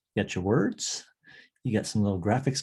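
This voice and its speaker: Soft-spoken and somewhat breathy, a man talks at a fairly quick pace with ordinary pitch variation. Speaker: online course instructor. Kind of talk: tutorial. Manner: casual.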